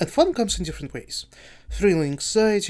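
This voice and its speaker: A non-native accent in a very clean recording with a silent background. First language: not English. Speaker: gaming youtuber and streamer. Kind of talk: casual video review monologue. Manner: halting.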